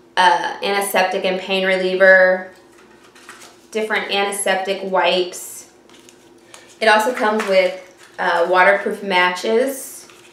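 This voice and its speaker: With audible room echo and light background noise, a woman speaks at a fairly slow pace in a monotone, flat intonation, leaving long, frequent pauses. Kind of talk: casual vlog tutorial. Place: home room. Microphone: webcam.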